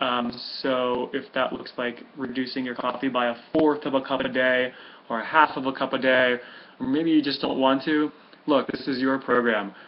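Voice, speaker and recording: Medium-pitched male delivery at a moderate speed, with monotone, flat intonation. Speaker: health coach. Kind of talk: tutorial. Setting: webcam recording with headphones.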